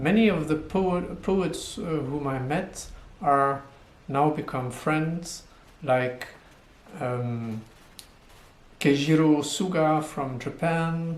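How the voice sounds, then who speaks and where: Amid audible room echo, a man with a French accent speaks very slowly at a fairly high pitch with ordinary pitch variation and long, frequent pauses. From French-speaking Switzerland. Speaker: poet. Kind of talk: video self-introduction. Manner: hesitant with fillers.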